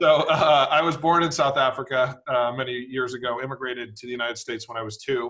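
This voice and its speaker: A man with an American accent talks at a very fast pace in a medium pitch. His intonation is fairly even, yet his loudness swings widely. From US, Washington DC area. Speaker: private equity executive, nonprofit board chairman. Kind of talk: fireside chat. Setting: video webinar. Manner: hesitant, many fillers.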